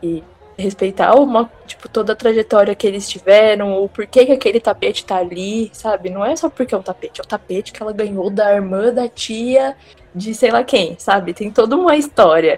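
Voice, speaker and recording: A woman talks at a moderate pace in an ordinary speaking voice, fairly high in pitch with ordinary pitch variation. Her loudness swings widely, and the sound is dry and close with no echo. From interior of São Paulo state, Brazil. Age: 20s. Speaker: nurse. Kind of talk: casual chat.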